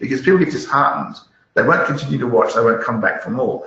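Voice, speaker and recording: A man speaks with an Australian accent, and audible room echo surrounds his voice. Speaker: malware analyst and YouTuber. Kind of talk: interview. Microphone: poor audio.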